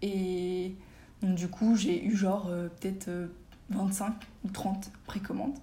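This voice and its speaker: A woman speaks at medium pitch and a very slow pace, with long, frequent pauses and fairly even intonation. Noticeable background noise and audible room echo fill the recording. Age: 20s. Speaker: magazine founder. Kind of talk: casual interview.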